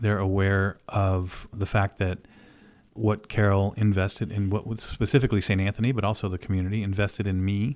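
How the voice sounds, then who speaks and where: An American-accented man, fairly low in pitch and fairly quick, with monotone, flat intonation on a very clean recording with a silent background. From Oklahoma and Illinois. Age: 50s. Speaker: orthopedic surgeon and radio host. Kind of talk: casual radio monologue.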